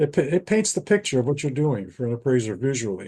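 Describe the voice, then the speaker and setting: Ordinary pitch variation and a dark, mellow tone over a quiet background. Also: man. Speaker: appraiser and data science educator. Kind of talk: presentation in podcast interview. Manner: halting, many restarts.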